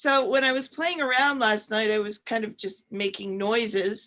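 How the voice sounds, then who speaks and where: With a bright, sharp tone and fairly high pitch, a woman speaks at a fairly slow pace with ordinary pitch variation. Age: 60s. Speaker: co-host, former professional singer. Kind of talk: panel discussion.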